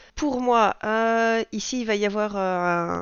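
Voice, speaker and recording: Her pitch is medium. The woman's intonation stays fairly even. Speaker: budgeting vlogger. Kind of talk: casual vlog monologue. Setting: at home. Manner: hesitant, many fillers.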